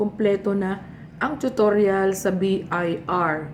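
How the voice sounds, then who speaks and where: Audible room echo hangs around a woman's voice. She talks at a medium pitch. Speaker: vlogger. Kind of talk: casual tutorial vlog while eating.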